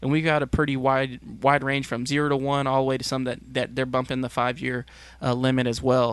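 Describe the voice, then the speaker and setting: Monotone and flat, the speech comes at a moderate pace with an American accent. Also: man. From Texas. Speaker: agricultural extension specialist. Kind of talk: interview.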